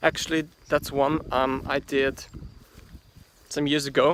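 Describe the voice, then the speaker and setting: Speaking fairly slowly with a non-native accent, a man uses a fairly high pitch and fairly even intonation in a dry, close sound with no echo. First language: German. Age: 30s. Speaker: gardener. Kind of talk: guided tour vlog. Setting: outdoors in garden. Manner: halting, many fillers.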